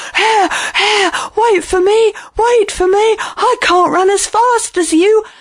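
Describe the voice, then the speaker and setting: Squeaky and extremely high in pitch, this put-on character voice moves at a fairly slow pace. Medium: read story.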